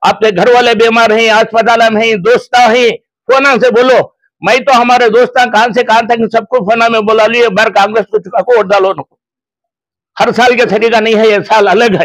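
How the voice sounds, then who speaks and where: A man talks in an extremely high pitch, keeping his loudness very even. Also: moderate pace. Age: 80s+. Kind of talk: public speech. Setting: press conference. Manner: animated.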